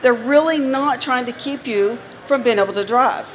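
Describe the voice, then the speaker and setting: Through noticeable background noise, a woman speaks at a fairly slow pace in a high voice with ordinary pitch variation. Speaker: healthcare company presenter. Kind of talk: trade show seminar talk. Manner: animated.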